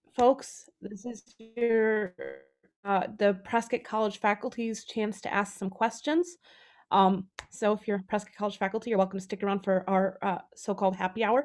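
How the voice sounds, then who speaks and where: With a quiet background, a woman talks at a moderate pace in a medium pitch. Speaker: faculty member moderating a talk. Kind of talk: event moderation. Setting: video call. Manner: enthusiastic. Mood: warm, appreciative. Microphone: video call.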